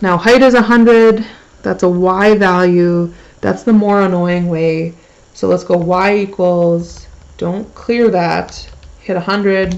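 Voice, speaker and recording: Intonation remains fairly even throughout. Delivery is very slow. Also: woman, medium pitch for a woman. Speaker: math teacher. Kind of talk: tutorial. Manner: casual.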